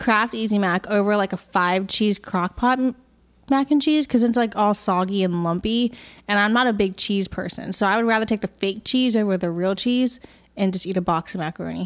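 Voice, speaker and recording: On a very clean recording with a silent background, a woman with a normal speaking voice talks at a fairly quick pace and a medium pitch, with ordinary pitch variation. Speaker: podcast co-host, singer-songwriter. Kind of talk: casual chat, Q&A episode. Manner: playful, chatty.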